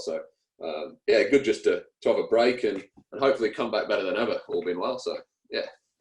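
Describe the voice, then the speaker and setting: He talks at a very fast pace. The man speaks with an English accent. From England. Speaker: cricketer. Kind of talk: interview. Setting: radio show. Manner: hesitant, many fillers.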